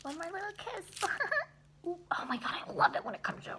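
A woman's put-on character voice, squeaky and extremely high-pitched, at a fairly quick pace over clear background noise. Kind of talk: casual vlog chat. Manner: creepy, gleeful. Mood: playful, excited.

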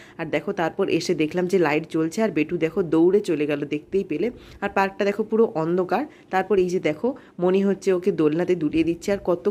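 A woman speaks in a dark, mellow tone at a fairly low pitch. Her pitch varies in an ordinary way. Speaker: vlogger and mother. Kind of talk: vlog narration over video. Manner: casual, conversational.

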